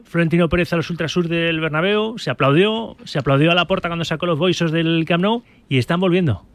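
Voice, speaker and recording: The speaker is a man with a high-pitched voice. He keeps a moderate pace. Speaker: sports radio host. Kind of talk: radio sports talk show.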